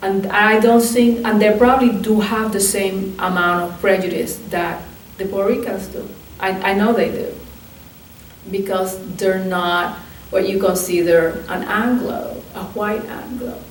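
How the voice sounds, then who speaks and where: Noticeable background noise sits behind a woman at medium pitch. She speaks at a fairly slow pace with fairly even intonation. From Puerto Rico. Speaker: archivist and museum curator. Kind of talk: oral history interview answer.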